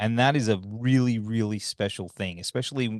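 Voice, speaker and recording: In an Australian accent, a man with a fairly low pitch talks at a moderate pace with fairly even intonation. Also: quiet background. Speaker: podcast host, interviewer. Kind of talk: interview.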